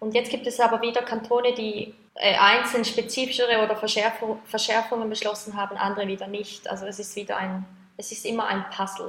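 A woman speaks at a fairly quick pace in a fairly high pitch, her intonation monotone and flat, her loudness swinging widely, with noticeable background noise behind her. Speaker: project leader at sex worker advocacy network. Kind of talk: interview.

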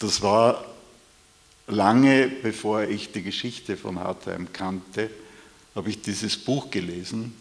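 A man's fairly low voice at a very slow pace, with long, frequent pauses. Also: fairly even intonation. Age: 70s. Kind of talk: panel discussion.

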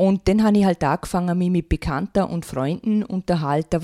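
A woman with an unremarkable speaking voice and medium pitch talks at a fairly quick pace. The recording is very clean, with a silent background and a dry, close sound with no echo. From Austria, Vorarlberg. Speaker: author and naturopath. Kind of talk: radio interview.

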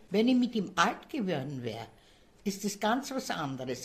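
Somewhat breathy, a woman's voice unfolds at a fairly slow pace. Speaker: care home resident. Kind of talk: interview.

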